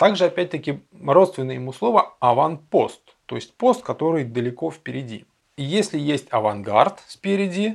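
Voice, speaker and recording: A man with vocal fry talks at a fairly slow pace with very wide pitch swings, on a very clean recording with a silent background. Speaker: educational video presenter. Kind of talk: scripted narration.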